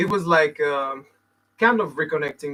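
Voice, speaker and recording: Bright and sharp in tone, a man speaks with a fairly high pitch and lively intonation. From Martinique. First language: French / Martinican Creole. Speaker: musician. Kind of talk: interview.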